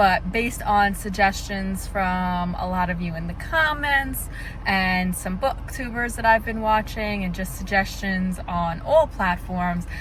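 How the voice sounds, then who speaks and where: A woman against noticeable background noise, with audible room echo. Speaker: book vlogger. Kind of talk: casual vlog. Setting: bookstore.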